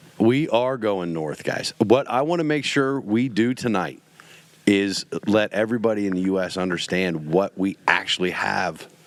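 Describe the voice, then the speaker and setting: Here a man with a fairly low pitch talks with lively intonation. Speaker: podcast host. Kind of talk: casual chat. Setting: home studio. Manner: animated.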